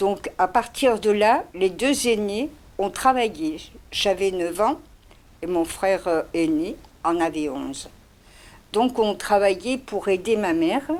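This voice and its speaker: A woman with lively intonation and a medium pitch talks very slowly, leaving long, frequent pauses. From Spain, Barcelona. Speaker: interviewee. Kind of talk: testimony.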